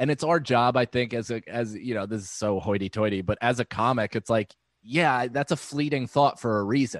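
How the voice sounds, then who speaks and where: The speaker goes at a fairly quick pace with hardly any pauses and ordinary pitch variation. It is a very clean recording with a silent background and a dry, close sound with no echo. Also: man, medium pitch for a man. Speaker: comedian. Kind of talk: casual chat.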